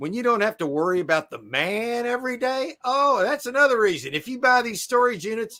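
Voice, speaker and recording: Projecting a raised voice, a man speaks at an extremely high pitch with very wide pitch swings. His tone is bright and sharp, and his pace is moderate. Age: 60s. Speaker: storage auction buyer, live streamer. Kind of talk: casual chat. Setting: live stream.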